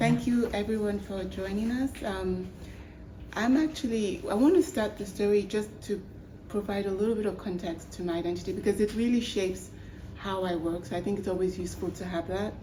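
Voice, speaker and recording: At a fairly quick pace, a woman with a medium pitch talks amid audible room echo. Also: ordinary pitch variation. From Nigeria. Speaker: human rights activist. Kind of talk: panel discussion. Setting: stage with audience.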